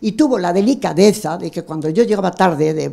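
A woman speaks with ordinary pitch variation against a quiet background. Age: old. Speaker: audience member. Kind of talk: audience comment. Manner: animated. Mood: moved, emotional. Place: hall. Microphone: handheld.

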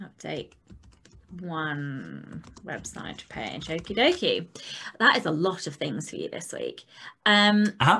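A woman with a British accent talks at a very slow pace, her loudness swinging widely and her speech broken by long, frequent pauses. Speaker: podcast co-host for authors. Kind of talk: casual chat. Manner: animated, swears freely. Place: home room. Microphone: video call.

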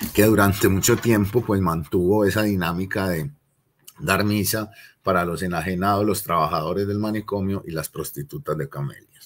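A man with an Antioquian accent, fairly low in pitch, at a moderate pace and with ordinary pitch variation. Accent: Colombian paisa (Antioquia) Spanish. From Colombia, Medellín (Aranjuez); Colombia. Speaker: lecturer on city history. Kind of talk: lecture. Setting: classroom with slides. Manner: conversational, with frequent fillers. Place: home room. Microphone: webcam.

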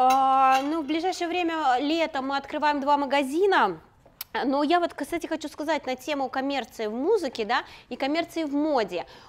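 Moderately paced speech from a woman, high in pitch, with ordinary pitch variation. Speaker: fashion designer. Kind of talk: casual chat. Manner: playful. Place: studio. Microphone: lapel.

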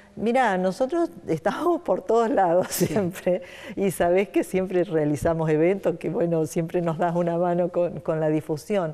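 A woman speaks in an unremarkable speaking voice, fairly low in pitch with ordinary pitch variation. Her pace is moderate, with hardly any pauses and very even loudness. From Santa Fe, Argentina. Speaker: nonprofit foundation director; interview guest. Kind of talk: interview. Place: studio. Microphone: lapel.

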